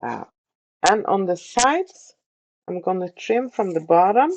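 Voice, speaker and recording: A woman speaks at a fairly slow pace with a non-native accent, her pitch medium and her intonation lively. The sound is dry and close, with no echo. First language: not English. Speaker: sewing tutorial creator. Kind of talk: tutorial. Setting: sewing room. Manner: hesitant, many fillers.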